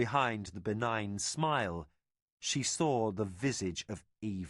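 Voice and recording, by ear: Reading aloud in a natural voice is heard over a quiet background.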